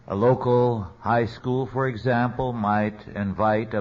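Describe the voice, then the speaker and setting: Amid audible room echo, a man at medium pitch speaks very slowly in an American accent, with fairly even intonation. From US West, central California. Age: 80s+. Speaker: theologian and lecturer. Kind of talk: lecture.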